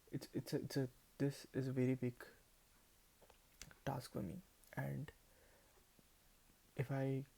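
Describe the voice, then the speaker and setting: In a Telugu accent, a man at a medium pitch speaks with monotone, flat intonation and a dark, mellow, somewhat breathy tone. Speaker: vlogger. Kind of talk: casual monologue to camera. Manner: halting, many repetitions.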